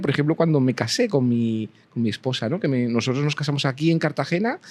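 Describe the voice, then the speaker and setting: A man with a Spanish accent speaks at a very fast pace. The recording is very clean, with a silent background. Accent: Spanish (Spain). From Spain. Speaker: university professor. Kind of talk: interview conversation.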